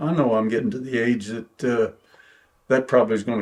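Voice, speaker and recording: A man at medium pitch with an Oklahoma accent. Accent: southern US, Oklahoma. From Oklahoma, Bartlesville. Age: 80s+. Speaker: preacher and retired school principal. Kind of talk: oral history interview. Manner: halting.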